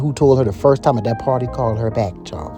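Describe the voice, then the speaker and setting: A voice with a South Carolina Lowcountry accent over music in the background. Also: man. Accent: Gullah Geechie, Lowcountry South Carolina. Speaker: storyteller. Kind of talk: casual storytelling, gossip tale.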